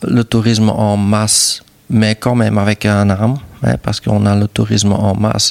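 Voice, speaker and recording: A man speaks with a Flemish accent at a fairly low pitch, his intonation monotone and flat and his loudness very even. The pace is fairly slow, and the sound is dry and close with no echo. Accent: Flemish Dutch accent in French. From Flanders, Belgium (near Dutch border). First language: Dutch (speaking French). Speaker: hotel and restaurant owner. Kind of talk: interview conversation. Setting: on location at his hotel. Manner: hesitant with fillers.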